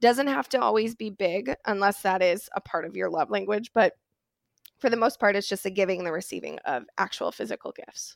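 A woman's medium-pitched voice with an American accent, vocal fry, lively intonation and a fairly quick pace, in a dry, close sound with no echo. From Wisconsin, US Midwest. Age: 20s. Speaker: mental health counselor. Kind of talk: casual interview chat. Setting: remote call.

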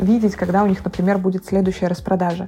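A woman talks at a very fast pace in a medium-pitched voice. Noticeable background noise can be heard. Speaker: blogger. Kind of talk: casual chat. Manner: animated.

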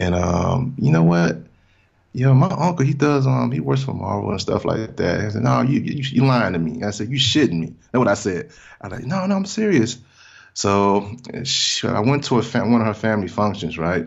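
A man's Southern US accent at a moderate pace, with very wide pitch swings and vocal fry. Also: medium pitch for a man. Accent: Southern American. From US South, small-town Mississippi. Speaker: podcast guest, comic fan. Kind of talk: casual chat.

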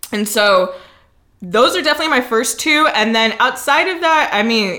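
Her high, bright, sharp voice carries lively intonation at a moderate pace, with audible room echo around the woman. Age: young. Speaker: performance poet and musician. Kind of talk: casual chat. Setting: studio.

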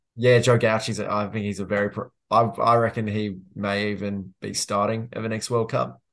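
A man with an Australian accent at a moderate pace, his intonation monotone and flat. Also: fairly low pitch for a man, hardly any pauses, quiet background. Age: 20s. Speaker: football journalist. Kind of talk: casual chat.

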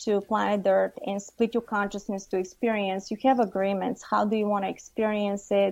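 A woman speaks at a medium pitch with a Bulgarian accent. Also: quiet background. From Bulgaria, Varna. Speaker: psychic and channeler. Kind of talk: radio interview.

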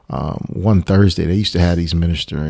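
Over noticeable background noise, a man with an American accent talks at a very fast pace. His pitch is very deep and low, with fairly even intonation. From US Midwest, Chicago suburb. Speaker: pastor. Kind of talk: casual chat. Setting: studio.

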